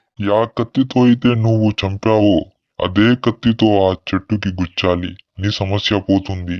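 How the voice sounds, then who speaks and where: A man puts on a character voice at a fairly low pitch. He speaks at a moderate pace against a quiet background. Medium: short film. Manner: calm, sinister.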